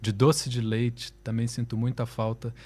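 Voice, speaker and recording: The recording is very clean with a silent background. A man speaks at medium pitch and a moderate pace. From Brazil, Rio de Janeiro. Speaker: musician. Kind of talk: interview.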